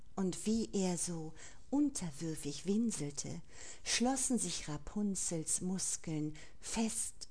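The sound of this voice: What we hear is an unforced reading voice.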